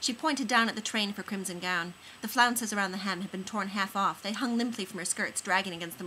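What you hear is plain reading aloud.

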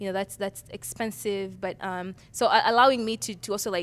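Fairly quick pace, ordinary pitch variation, and light background noise. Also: woman. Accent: Ugandan. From Uganda, Kampala; Uganda. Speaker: design professor. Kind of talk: interview. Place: studio. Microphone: handheld.

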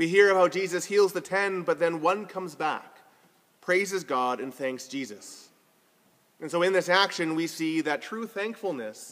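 Ordinary pitch variation comes through at a moderate pace. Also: man, high pitch for a man. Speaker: preacher. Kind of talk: sermon. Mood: warm, lightly humorous. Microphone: phone near.

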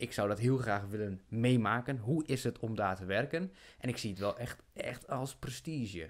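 A man talks in a plain, everyday voice at a medium pitch, with ordinary pitch variation. His pace is moderate and the background quiet. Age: 30s. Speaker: podcast host. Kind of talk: casual chat. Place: studio. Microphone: studio mic.

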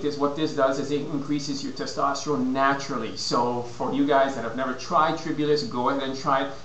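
Talking at a very fast pace in a fairly high pitch, a man is heard with light background noise and audible room echo. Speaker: fitness and nutrition consultant. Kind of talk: casual vlog advice. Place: home room. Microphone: webcam.

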